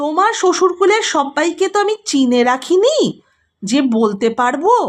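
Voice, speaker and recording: A woman bellows in a put-on character voice, high-pitched and swinging very widely in pitch. Her pace is fairly slow and her loudness very even. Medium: read story. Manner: loud, bellowing, coarse.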